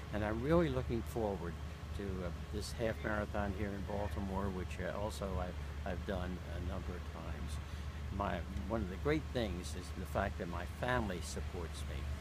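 Noticeable background noise sits behind a man. He talks with an American accent at a moderate pace. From Maryland, USA. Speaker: marathon runner. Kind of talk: interview answer. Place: garden. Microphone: phone near.

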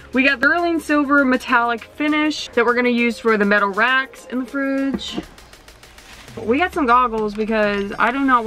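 With faint music in the background, the voice keeps a moderate pace and ordinary pitch variation in a dry sound with no echo. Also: woman. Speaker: van renovation vlogger. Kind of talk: casual vlog chat. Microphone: phone near.

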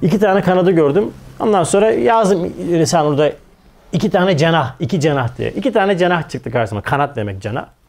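This man speaks with an animated tone and a fairly high pitch. His pace is fairly quick. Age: 40s. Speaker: religious teacher. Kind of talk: religious lecture. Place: studio. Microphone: lapel.

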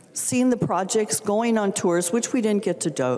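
A woman speaks with an American accent. The background is quiet. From Minnesota. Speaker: state legislator. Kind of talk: legislative floor speech; floor debate speech. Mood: earnest, emotional, frustrated. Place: hall. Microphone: handheld.

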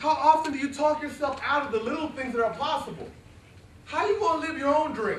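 Over light background noise and audible room echo, a man talks very fast at an extremely high pitch with ordinary pitch variation. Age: 40s. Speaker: motivational speaker. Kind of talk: motivational speech. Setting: stage with audience. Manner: animated. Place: classroom. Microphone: camera far.

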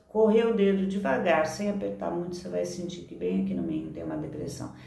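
A woman's warm tone with audible room echo. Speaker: therapist and online course teacher; teacher. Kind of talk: tutorial. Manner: warm, conversational. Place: home room. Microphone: phone near.

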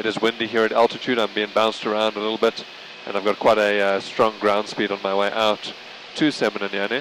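There's noticeable background noise around this man's dry, echo-free voice. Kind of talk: commentary while flying. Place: plane. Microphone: headset.

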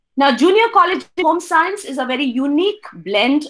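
A woman at a fairly slow pace over a quiet background. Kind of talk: presentation talk. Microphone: webcam.

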